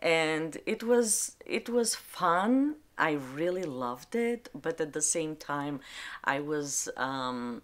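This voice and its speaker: This woman, with an Albanian accent, speaks very slowly in a fairly low pitch, her voice swinging very widely up and down. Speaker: librarian. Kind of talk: interview testimony. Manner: halting.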